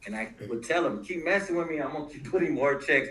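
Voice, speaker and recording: A man's fairly high-pitched voice with vocal fry and a bright, sharp tone. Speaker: former prisoner and prison rights advocate. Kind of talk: panel discussion. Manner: halting.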